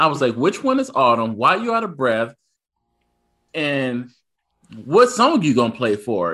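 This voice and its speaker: Speaking at a moderate pace, a man's voice carries vocal fry. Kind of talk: casual chat. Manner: joking, teasing.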